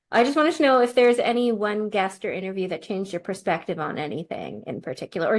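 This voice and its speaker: In a very clean recording with a silent background, a woman with a plain, everyday voice speaks at a medium pitch and a fairly quick pace. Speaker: podcast co-host and writer. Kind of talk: casual chat.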